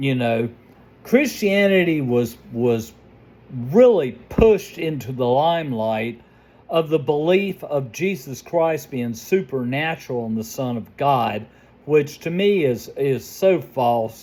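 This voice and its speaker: Delivery is very slow. Intonation rises and falls in a lively way. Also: man, fairly high pitch for a man. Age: 60s. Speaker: YouTube vlogger reacting to videos. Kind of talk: casual reaction commentary.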